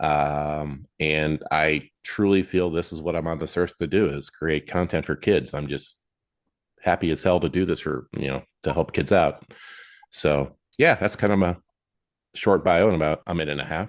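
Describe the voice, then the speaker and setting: At a moderate pace against a quiet background, the voice carries vocal fry and fairly even intonation. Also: man, very deep, low pitch for a man. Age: 60s. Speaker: children's book author. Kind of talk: interview. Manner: halting, many fillers.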